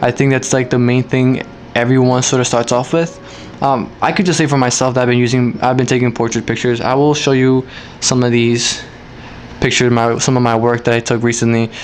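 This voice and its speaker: Over noticeable background noise, a man talks at medium pitch and a fairly quick pace. His intonation is flat and monotone, and his loudness stays very even. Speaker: amateur photographer YouTuber. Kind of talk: casual Q&A vlog. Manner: hesitant, fillers and restarts.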